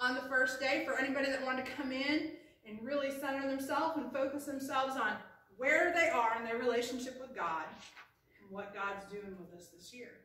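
A raised, projected voice at a fairly quick pace, with ordinary pitch variation, big swings in loudness, and audible room echo. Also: woman. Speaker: pastor. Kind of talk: sermon. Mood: warm and excited. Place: church. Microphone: camera far.

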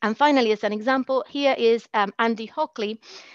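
Over a quiet background with a dry sound and no echo, a woman speaks at a moderate pace in a fairly high pitch with ordinary pitch variation. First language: a language other than English. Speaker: teacher educator. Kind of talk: conference plenary talk; lecture. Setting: online conference, screen shared.

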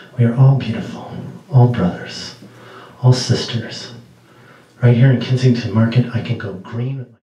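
A man delivers a dramatic tone at a moderate pace with fairly even intonation, with audible room echo. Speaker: poet. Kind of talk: poem performance, spoken word. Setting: small venue, live audience. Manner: dramatic, rhythmic delivery. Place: stage.

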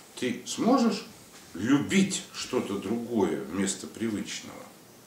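The speech moves at a very slow pace. There is audible room echo along with light background noise. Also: man. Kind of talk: interview answer. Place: office. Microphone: camera far.

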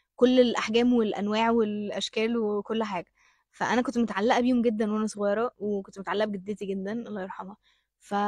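A woman speaks at a very fast pace in an animated tone, somewhat breathy and with a fairly high pitch. The sound is dry with no echo, and the background is quiet. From Egypt. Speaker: actress. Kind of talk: interview. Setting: studio with audience. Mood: cheerful, smiling. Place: studio. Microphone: handheld.

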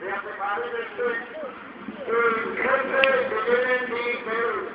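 Speaking very slowly in a monotone, flat intonation, a man with an extremely high pitch is heard over loud background noise with audible room echo. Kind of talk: public address announcement. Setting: PA system, outdoor pool. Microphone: pa.

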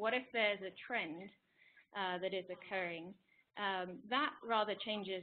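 Light background noise sits behind a woman with an English accent talking at a moderate pace. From England. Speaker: climate scientist, postdoc researcher. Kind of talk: webinar presentation. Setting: online webinar. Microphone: video call.

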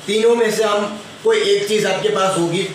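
A man speaks at a high pitch and a moderate pace. Strong room echo and light background noise are present. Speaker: home fitness instructor. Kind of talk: tutorial. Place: home room. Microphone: phone near.

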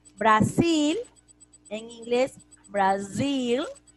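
A woman's fairly high voice at a very slow pace, lively in intonation, over music in the background. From Peru. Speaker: school English teacher. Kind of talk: online class lesson. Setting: video call. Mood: warm, patient. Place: home room. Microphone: video call.

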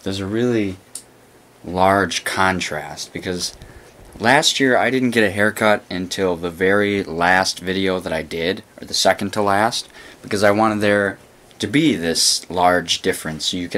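At a moderate pace, a man with a very deep, low voice talks with ordinary pitch variation. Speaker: vlogger. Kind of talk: casual vlog chat. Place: home room. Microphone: phone near.

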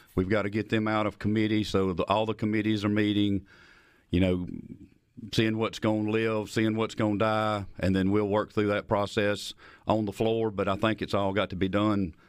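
In a Southern US accent, a man speaks at a moderate pace with monotone, flat intonation and very even loudness, the sound dry with no echo over a quiet background. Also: fairly low pitch for a man. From rural Mississippi, Lincoln County. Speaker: state legislator and farmer. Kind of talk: political interview. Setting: studio. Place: studio. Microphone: studio mic.

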